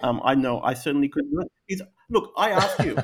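Speaking with an Australian accent, a man uses lively intonation at a fairly high pitch and a moderate pace. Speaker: podcast co-host. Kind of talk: casual chat, interview.

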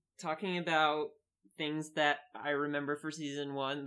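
A woman's very deep, low voice in an Upper Midwestern accent, at a moderate pace. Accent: Midwestern, upper Midwest. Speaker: podcast co-host.

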